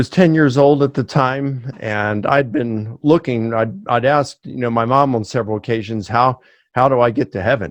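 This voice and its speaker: At a moderate pace and with ordinary pitch variation, the speaker uses a Mid-Atlantic American accent against a quiet background. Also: man, medium pitch for a man. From US, Baltimore, Maryland. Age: 50s. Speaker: professor. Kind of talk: interview.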